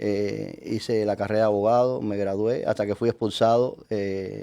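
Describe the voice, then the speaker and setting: Speaking at a moderate pace, a man uses a fairly low pitch and monotone, flat intonation, his tone dark and mellow. The recording is very clean, with a silent background. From Cuba, Havana. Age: 60s. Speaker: Freemason leader, lawyer. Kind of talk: interview. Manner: halting, many fillers.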